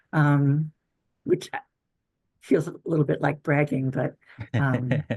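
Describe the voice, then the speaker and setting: A woman speaks very slowly in a very deep, low pitch with a dark, mellow, somewhat breathy tone. Her intonation stays monotone and flat. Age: 60s. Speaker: stage actor. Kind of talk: podcast interview. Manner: halting.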